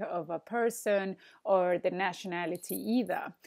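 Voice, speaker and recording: A woman with a Spanish accent at a fairly slow pace, ordinary pitch variation, and a quiet background. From Argentina. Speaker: Spanish teacher. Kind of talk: online language lesson. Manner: hesitant, many fillers. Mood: friendly, relaxed. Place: home room. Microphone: earbuds.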